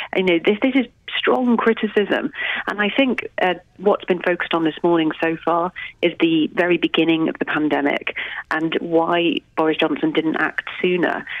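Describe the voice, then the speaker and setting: Over noticeable background noise, a woman with a fairly low pitch talks at a moderate pace, with ordinary pitch variation and very even loudness. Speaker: political reporter. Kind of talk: news reporting.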